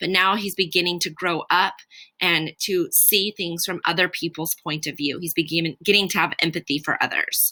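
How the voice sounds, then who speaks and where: In a very clean recording with a silent background and a dry, close sound with no echo, a woman speaks at a moderate pace with a fairly low pitch, a bright, sharp tone and fairly even intonation. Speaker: middle school teacher. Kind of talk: lecture.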